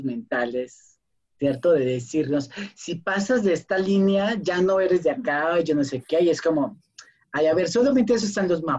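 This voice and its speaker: Speaking fairly slowly, a man uses a high voice with lively intonation. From Colombia, small town. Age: 30s. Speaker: performing artist and cultural researcher. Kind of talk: casual chat.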